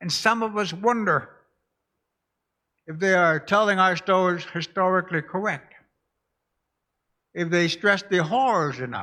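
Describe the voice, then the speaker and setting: Over a quiet background, a man with a high pitch and a bright, sharp tone uses a raised, projected voice at a fairly slow pace with long, frequent pauses. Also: ordinary pitch variation. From Alaska, North Slope (Barrow). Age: 80s+. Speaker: pastor. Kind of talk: testimony.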